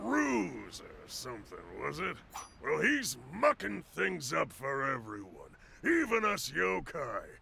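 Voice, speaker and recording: A man puts on a character voice and talks fairly slowly. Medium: video game. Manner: folksy, wheedling salesman.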